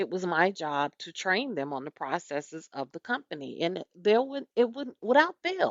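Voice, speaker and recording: A woman's animated, medium-pitched voice in a Southern US accent, with very wide pitch swings, big swings in loudness and a moderate pace. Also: hardly any pauses. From US South. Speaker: podcast host and business owner. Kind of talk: podcast monologue. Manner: conversational, animated.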